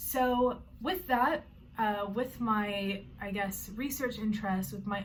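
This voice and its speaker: A woman speaks at a fairly slow pace, somewhat breathy. Her intonation is fairly even. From Canada. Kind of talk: personal vlog introduction. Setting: bedroom.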